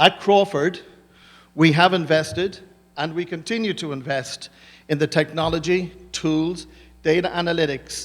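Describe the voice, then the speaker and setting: On a very clean recording with a silent background, a man speaks at a high pitch and a moderate pace, with fairly even intonation and long, frequent pauses. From Ireland. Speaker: business executive. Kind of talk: conference presentation.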